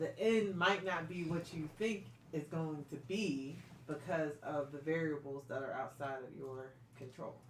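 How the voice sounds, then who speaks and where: Speech at a fairly slow pace over noticeable background noise. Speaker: Torah study co-host. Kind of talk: casual discussion.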